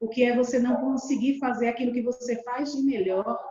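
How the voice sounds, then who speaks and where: A woman is speaking. Her pitch is high. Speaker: storyteller. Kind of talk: talk on storytelling experience. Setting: video call.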